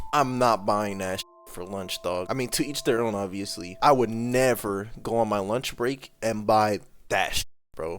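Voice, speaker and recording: This man's voice sits fairly low in pitch, moving at a moderate pace with ordinary pitch variation. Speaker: YouTuber, commentary reaction. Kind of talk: casual reaction commentary. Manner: casual, halting.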